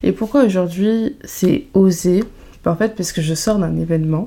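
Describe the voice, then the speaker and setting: Pitch shifts in an ordinary way. The speech moves at a moderate pace. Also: woman. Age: 20s. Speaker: podcast host. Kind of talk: casual chat. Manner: animated.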